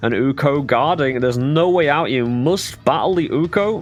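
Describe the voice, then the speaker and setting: Over music in the background, a man talks at a moderate pace with a fairly high pitch and ordinary pitch variation. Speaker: game commentator. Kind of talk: live commentary. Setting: live stream.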